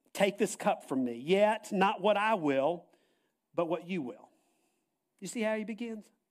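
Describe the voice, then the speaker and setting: The speaker moves at a fairly slow pace with lively intonation and long, frequent pauses. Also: man, high pitch for a man. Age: 60s. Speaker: pastor. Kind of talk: sermon.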